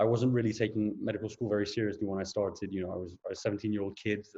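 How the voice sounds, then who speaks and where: A man's somewhat breathy, fairly low voice with fairly even intonation. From Portugal. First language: Portuguese. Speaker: junior doctor. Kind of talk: lecture. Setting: video call. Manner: hesitant, frequent fillers and repeats.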